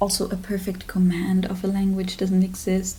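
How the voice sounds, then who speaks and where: A woman with a slight non-native accent, medium in pitch, with audible room echo. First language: German. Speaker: literature student and video creator. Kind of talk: casual vlog talk.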